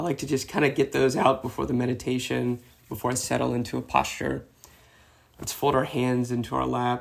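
A man talks at a fairly quick pace, with noticeable background noise behind him. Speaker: meditation teacher and ultra runner. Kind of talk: guided meditation, calm instructional cues.

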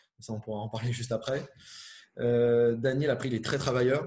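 A man talks at a moderate pace in a medium pitch. His voice is somewhat breathy, and his intonation stays fairly even. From Brittany, Finistère. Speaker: tennis brand player manager. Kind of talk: interview. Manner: hesitant, many fillers.

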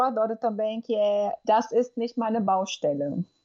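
A woman speaks in a normal speaking voice at a fairly slow pace, with a fairly high pitch and ordinary pitch variation. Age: 30s. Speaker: language teacher and linguistics lecturer. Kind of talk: interview.

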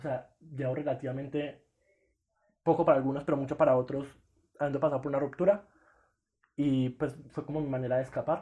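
With long, frequent pauses between fairly quick stretches, a man speaks in a somewhat breathy, dark and mellow voice at a fairly high pitch, flat and monotone. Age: 20s. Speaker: podcast co-host, medical student. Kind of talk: casual chat.

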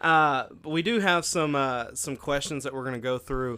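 This bright, sharp-toned voice shows ordinary pitch variation in a very clean recording with a silent background. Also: man. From Arkansas. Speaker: podcast host and youth minister. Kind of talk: casual ministry conversation.

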